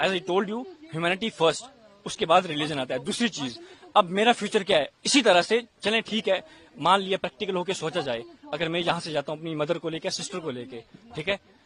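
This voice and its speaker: Amid noticeable background noise, a man speaks with a high pitch and lively intonation. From India. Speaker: student interviewee leaving country. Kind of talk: street interview.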